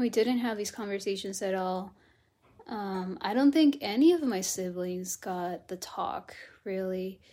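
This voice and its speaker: A woman with an American accent, a dark, mellow tone and medium pitch, with lively intonation at a fairly slow pace. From Texas, Austin area. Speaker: interview guest. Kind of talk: personal interview. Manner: hesitant, many fillers.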